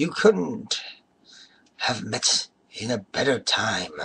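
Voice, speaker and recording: A man uses a put-on character voice, raspy and fairly high in pitch. He speaks at a very slow pace. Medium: read story. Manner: chuckling, rambling.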